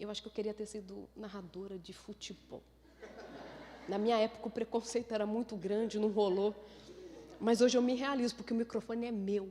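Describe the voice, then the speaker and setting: A woman speaks in an animated tone at a fairly quick pace. She takes long, frequent pauses. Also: fairly high pitch for a woman, big swings in loudness. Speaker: neuroscientist giving a talk. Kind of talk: lecture. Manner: fast.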